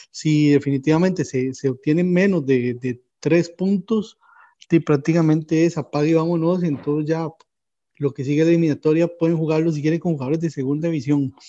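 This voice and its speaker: Fairly high in pitch, a man talks at a fairly quick pace with a dark, mellow tone. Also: fairly even intonation. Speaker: football podcast co-host. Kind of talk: casual sports chat.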